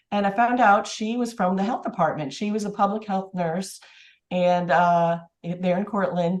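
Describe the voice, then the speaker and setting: A moderate pace against a quiet background. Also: woman, medium pitch for a woman. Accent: American. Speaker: public health nurse. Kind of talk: casual interview. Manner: halting.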